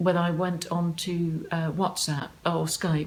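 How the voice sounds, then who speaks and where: A woman speaks with a southern English accent at a fairly slow pace. Her fairly low voice holds a fairly even intonation over noticeable background noise. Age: 60s. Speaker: online dater. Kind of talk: interview answer.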